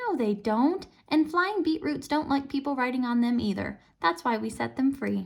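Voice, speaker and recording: Someone uses a put-on character voice that sounds gruff, moving at a moderate pace. The pitch swings very widely. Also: woman, high pitch for a woman. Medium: read story. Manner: hostile, accusing.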